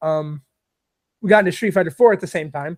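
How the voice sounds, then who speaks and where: A man talks at a very fast pace with a New York accent. His pitch varies in an ordinary way. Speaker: gamer, livestream interview guest. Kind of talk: casual interview chat. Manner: loud; excitable, hype.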